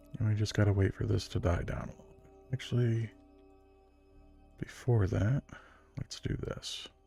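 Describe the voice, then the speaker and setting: A man's fairly low voice at a moderate pace, with fairly even intonation, big swings in loudness, long, frequent pauses and music in the background. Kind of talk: ASMR gameplay narration, soft-spoken relaxing talk. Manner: soft-spoken, relaxing.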